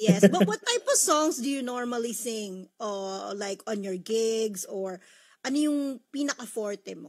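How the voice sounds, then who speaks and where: A woman with an unremarkable speaking voice talks at a fairly slow pace, her pitch fairly high and its variation ordinary. Her loudness swings widely. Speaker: radio host. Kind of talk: radio show hosting. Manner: upbeat.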